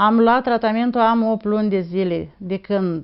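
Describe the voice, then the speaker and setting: A woman's voice at a very slow pace with ordinary pitch variation. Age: 60s. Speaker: patient giving testimonial. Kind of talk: testimony. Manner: halting.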